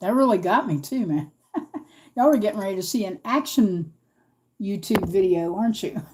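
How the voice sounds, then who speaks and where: A somewhat breathy woman with an American accent, lively intonation, and long, frequent pauses. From US, East Coast Virginia. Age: 50s. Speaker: craft livestreamer. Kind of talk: live craft stream chat. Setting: livestream from home. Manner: casual, chatty. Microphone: new laptop, audio trouble.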